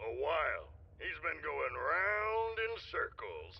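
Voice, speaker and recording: Over light background noise, a man puts on a character voice at a fairly slow pace. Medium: video game. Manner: gruff, folksy.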